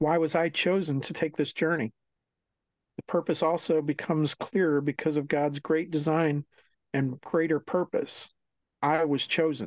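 A man talks at a moderate pace with a fairly high pitch. The sound is dry and close with no echo, over a quiet background. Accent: American. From Maryland, near Washington DC. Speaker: author. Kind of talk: reading aloud; interview. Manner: halting, many fillers.

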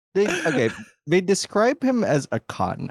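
With vocal fry and very wide pitch swings, the speaker moves at a fairly slow pace. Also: man, dry, close sound with no echo. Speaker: podcast co-host. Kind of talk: casual chat.

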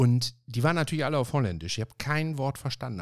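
A man talks in an animated tone in a very clean recording with a silent background. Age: 50s. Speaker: podcast host. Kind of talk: casual chat. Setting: home office.

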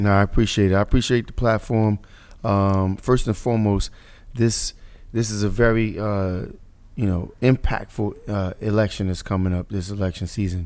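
The speech moves at a moderate pace in a monotone, flat intonation, with an American accent. The recording is very clean, with a silent background. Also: man, fairly low pitch for a man. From Paterson, New Jersey. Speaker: city councilman and mayoral candidate. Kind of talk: interview conversation.

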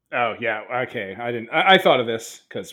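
Animated in tone, a man with a medium pitch talks at a fairly quick pace with lively intonation. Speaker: tabletop roleplaying game player. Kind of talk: casual roleplaying game session with banter. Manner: animated, joking, swears casually.

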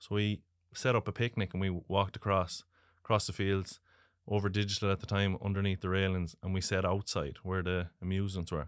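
A man's very deep, low, monotone voice in a Galway accent, with flat intonation, on a very clean recording with a silent background. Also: fairly quick pace. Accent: Irish, Galway. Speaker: racing superfan. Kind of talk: interview. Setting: studio. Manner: laughs often.

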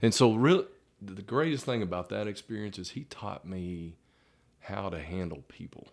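A man with a Texan accent, fairly low pitch, lively intonation and big swings in loudness, in a very clean recording with a silent background. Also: moderate pace. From Texas (Vernon, North Texas). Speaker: high school football coach. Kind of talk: casual interview.

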